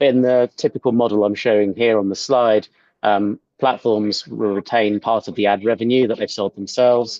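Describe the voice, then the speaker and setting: The speaker has a British accent and a monotone, flat intonation. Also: man. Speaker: product executive. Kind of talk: webinar presentation. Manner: hesitant with fillers.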